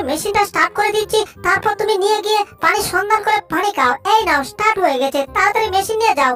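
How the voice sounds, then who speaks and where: A squeaky, cartoonish character voice at an extremely high pitch speaks at a fairly quick pace while faint music plays in the background. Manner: chatty, teasing, rustic.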